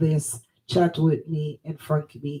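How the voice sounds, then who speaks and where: A fairly low-pitched woman's voice in a Jamaican accent, somewhat breathy, with a dark, mellow tone. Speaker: online talk show host. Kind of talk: casual interview.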